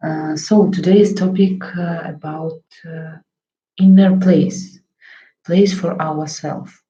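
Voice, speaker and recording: A woman with a Russian accent, fairly low-pitched and somewhat breathy, with a dark, mellow tone, monotone, flat intonation, a very slow pace, long, frequent pauses and big swings in loudness. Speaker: psychotherapist. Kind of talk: talk to camera on psychology. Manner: halting, many fillers.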